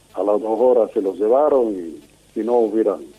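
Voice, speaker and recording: Over noticeable background noise, a man talks at a moderate pace and medium pitch. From Italy, raised in Argentina. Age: 80s+. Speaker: war veteran, radio amateur. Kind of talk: interview testimony.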